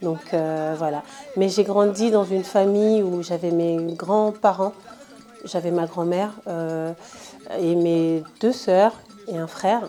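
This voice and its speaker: Speech comes at a very slow pace with long, frequent pauses and fairly even intonation, with music in the background. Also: woman, medium pitch for a woman. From Ivory Coast, south (Baoulé village). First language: Baoulé (speaking French). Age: 20s. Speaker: entrepreneur, interviewee. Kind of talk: interview testimony. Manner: hesitant, many fillers.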